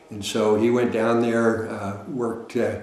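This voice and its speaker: A man with an American accent speaks in a flat monotone, with audible room echo and noticeable background noise. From Northern California (Sacramento). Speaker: retired Marine pilot. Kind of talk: interview storytelling.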